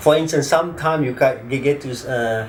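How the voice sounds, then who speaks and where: Amid noticeable background noise and audible room echo, a man with a fairly high voice talks at a moderate pace with ordinary pitch variation. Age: 50s. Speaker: attorney, former teacher. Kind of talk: interview testimony.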